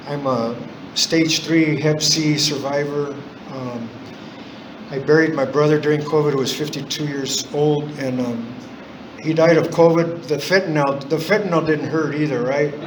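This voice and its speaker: With audible room echo and noticeable background noise, a man speaks at a moderate pace with fairly even intonation. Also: fairly high pitch for a man. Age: 60s. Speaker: AA speaker, recovering alcoholic. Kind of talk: recovery testimony. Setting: in-person meeting. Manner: halting, many fillers.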